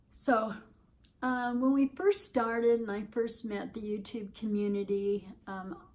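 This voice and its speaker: This somewhat breathy voice moves at a fairly slow pace with fairly even intonation and big swings in loudness. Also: woman, fairly high pitch for a woman. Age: 60s. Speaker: vlogger on weight loss surgery. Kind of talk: casual vlog update. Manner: hesitant, many fillers.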